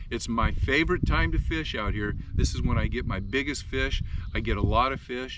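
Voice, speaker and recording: Audible room echo fills the recording. Noticeable background noise is also present. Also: man. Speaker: fishing show host. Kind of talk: fishing report monologue. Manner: fast; casual, with fillers.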